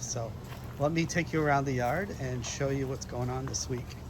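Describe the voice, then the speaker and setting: A man at a medium pitch is heard with audible room echo. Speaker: hobby gardener, plant channel host. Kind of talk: casual garden walk vlog. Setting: outdoors in backyard garden. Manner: hesitant, many fillers; trying to speak louder. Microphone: no external mic, voice sometimes cuts out or quiet.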